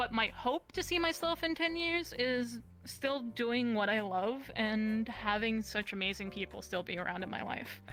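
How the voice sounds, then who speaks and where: A woman's fairly high voice with lively intonation and hardly any pauses, over noticeable background noise. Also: moderate pace. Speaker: VR content creator and model. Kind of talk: casual chat. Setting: live stream talk show.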